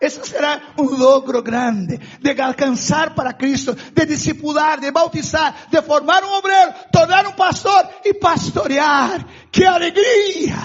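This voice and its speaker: A man with a Brazilian accent at an extremely high pitch, fairly slow pace and ordinary pitch variation. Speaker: pastor. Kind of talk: sermon. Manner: fervent preaching.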